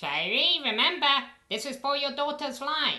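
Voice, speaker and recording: A female-sounding, put-on character voice is pitched high. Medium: machinima.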